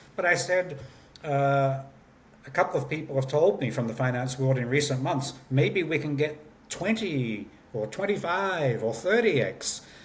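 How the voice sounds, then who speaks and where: In a room with audible echo, a man with a fairly high pitch talks at a moderate pace with lively intonation. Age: 60s. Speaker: company founder and CEO. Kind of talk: interview. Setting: remote call.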